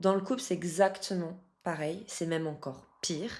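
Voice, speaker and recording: With a strong French accent, a woman talks at a moderate pace and fairly low pitch, her pitch varying in an ordinary way. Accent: strong French accent (when speaking English). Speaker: love coach. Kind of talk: casual coaching talk to camera.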